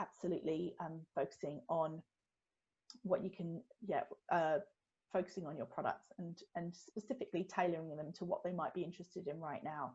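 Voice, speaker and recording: A woman speaks at a fairly quick pace with a fairly low pitch. Her voice is somewhat breathy, and her pitch varies in an ordinary way. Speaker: retail business consultant. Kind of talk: webinar Q&A. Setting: online webinar. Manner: fast; hesitant, many fillers.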